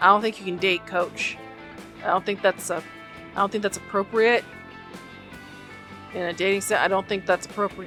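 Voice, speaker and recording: With music in the background, a woman talks at a fairly quick pace, leaving long, frequent pauses. Her medium-pitched voice has monotone, flat intonation. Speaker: gaming video host. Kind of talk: reading game text aloud while playing.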